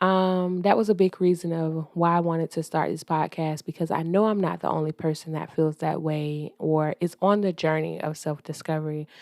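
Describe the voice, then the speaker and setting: A woman with an American accent, fairly even intonation, and a dry, close sound with no echo on a very clean recording with a silent background. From US South, Georgia. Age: 30s. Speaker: podcast host. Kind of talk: casual monologue podcast. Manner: casual, hesitant with fillers.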